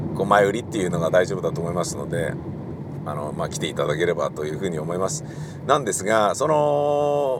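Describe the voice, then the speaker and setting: With audible room echo and noticeable background noise, a man speaks at a fairly quick pace, his pitch swinging very widely. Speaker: radio personality and theatre director. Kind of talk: casual solo talk while driving. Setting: in a car.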